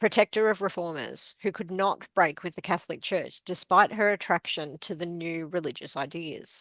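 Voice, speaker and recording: A woman with a strong Australian accent speaks at a moderate pace and medium pitch with ordinary pitch variation, against a quiet background in a dry, close sound with no echo. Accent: very Australian. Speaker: podcast co-host. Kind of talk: reading aloud book blurbs.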